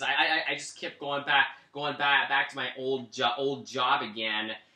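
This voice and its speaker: Noticeable background noise sits under a fairly slow delivery in an American accent. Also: man. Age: 20s. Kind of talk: interview. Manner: halting, heavy repetition.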